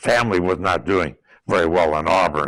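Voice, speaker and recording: A bright, sharp tone comes through at a fairly slow pace in a New England accent. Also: man. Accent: New England American. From western Massachusetts, US. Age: 100s (80s+). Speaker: war veteran. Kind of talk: oral history interview. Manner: halting, with many fillers and repetitions.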